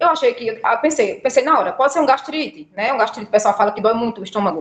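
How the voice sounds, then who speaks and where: Very fast delivery with ordinary pitch variation. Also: woman. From Brazil, Alagoas (Northeast). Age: 20s. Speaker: patient sharing illness story. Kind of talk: interview testimony.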